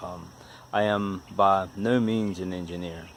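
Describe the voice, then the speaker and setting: A man with an Appalachian accent speaks in a fairly low pitch and flat, monotone intonation against noticeable background noise. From West Virginia. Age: 40s. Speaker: DIY car repair YouTuber. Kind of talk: casual DIY tutorial talk. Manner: halting, with repetitions and fillers.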